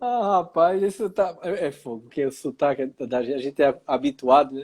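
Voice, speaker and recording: A fairly high-pitched man in a regional Brazilian accent, with lively intonation, a fairly quick pace and big swings in loudness. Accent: noticeable regional Brazilian. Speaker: live stream host, professor. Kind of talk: live stream conversation. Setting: online live stream.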